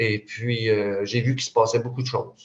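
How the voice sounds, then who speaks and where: A man talks at a moderate pace with a medium pitch. His voice is somewhat breathy. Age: 60s. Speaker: retired youth worker. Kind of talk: video call discussion. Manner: halting.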